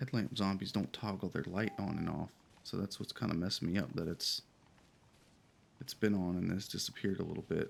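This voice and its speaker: Speaking at a fairly quick pace, a man with a fairly low pitch shows vocal fry and ordinary pitch variation. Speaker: gaming video creator. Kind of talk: casual gameplay commentary. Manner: hesitant, many fillers.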